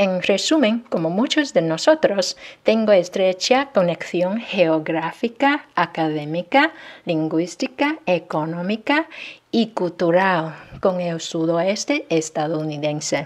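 The delivery is very slow yet lively in its intonation. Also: woman, medium pitch for a woman. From China. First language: Chinese (speaking Spanish). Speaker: university student. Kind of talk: class self-introduction.

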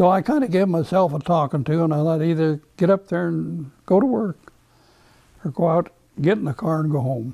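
Over a quiet background, a man with an American accent speaks at a moderate pace in a dark, mellow tone with ordinary pitch variation. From Nebraska, USA. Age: 80s+. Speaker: retired livestock auctioneer, former world champion. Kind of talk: interview answer. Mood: warm, reminiscing. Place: home room. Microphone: lapel.

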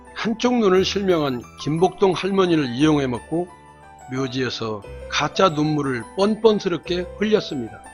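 Over music in the background, a man with a high voice talks fairly slowly, his pitch swinging very widely. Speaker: news commentator. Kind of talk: news commentary narration.

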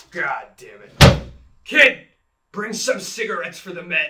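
A put-on character voice speaks with lively intonation at a moderate pace. Sound effects play in the background. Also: man, high pitch for a man. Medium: stage.

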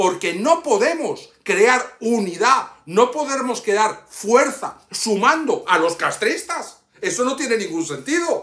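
A man speaks very slowly in an extremely high, bright, sharp voice with very wide pitch swings and hardly any pauses. The background is quiet, though there is audible room echo. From Cuba, Havana; Cuba. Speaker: YouTuber and political activist; YouTuber. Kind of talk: personal video message. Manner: impassioned. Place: home room. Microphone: phone near.

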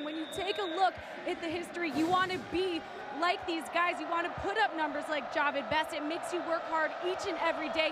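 A raised, projected, monotone voice at a fairly quick pace, dry with no echo, over loud background noise. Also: woman. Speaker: sideline reporter. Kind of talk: sideline interview and report. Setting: stadium sideline. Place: stadium. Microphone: handheld.

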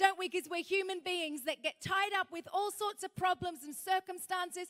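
This woman's voice sits extremely high and has a bright, sharp tone. Her intonation stays fairly even at a moderate pace. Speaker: speaker. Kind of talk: sermon. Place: hall. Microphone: handheld.

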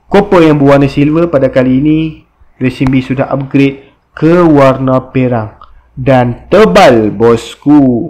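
A man speaking at a very slow pace. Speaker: motorbike parts seller. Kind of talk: product review tutorial. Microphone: phone near.

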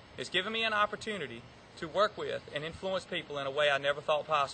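A man rattles along at a very fast pace with lively intonation. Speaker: golf teaching professional. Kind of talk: audition presentation to camera.

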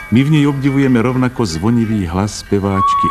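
A man's voice over loud music in the background. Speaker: documentary narrator. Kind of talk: documentary narration.

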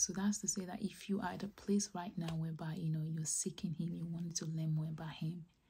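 Her voice is fairly low in pitch, somewhat breathy, and dark and mellow in tone, with light background noise behind it. This woman keeps a fairly even intonation and hardly any pauses. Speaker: ASMR creator. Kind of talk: whispered personal testimony about faith. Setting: close-mic, ASMR style. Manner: whispered, soft, slow. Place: home room.

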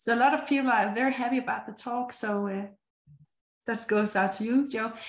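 A woman's fairly high, somewhat breathy voice at a fairly quick pace, with fairly even intonation and audible room echo. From Denmark. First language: Danish. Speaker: meetup host. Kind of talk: event hosting. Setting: video call. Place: home room. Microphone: webcam.

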